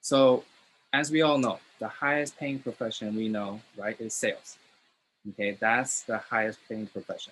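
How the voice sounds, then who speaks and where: In a very clean recording with a silent background, a man with an American accent uses a normal speaking voice at medium pitch, ordinary pitch variation and a moderate pace. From Los Angeles, US. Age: 20s. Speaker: network marketing seminar host. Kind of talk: seminar presentation.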